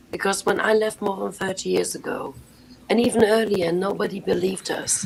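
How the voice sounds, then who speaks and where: Noticeable background noise sits behind a woman with a German accent. She talks at a fairly quick pace and a medium pitch. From Germany. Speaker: former Jehovah's Witness. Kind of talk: live panel discussion.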